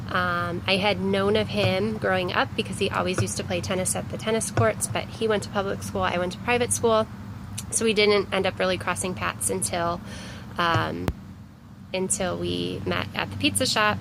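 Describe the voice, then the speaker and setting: Someone with a Cleveland accent speaks at a moderate pace against noticeable background noise. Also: woman. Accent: Inland Northern American (Cleveland). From US Midwest, Cleveland, Ohio. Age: 30s. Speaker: vlogger. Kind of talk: casual personal vlog. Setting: outdoors. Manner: casual with many fillers.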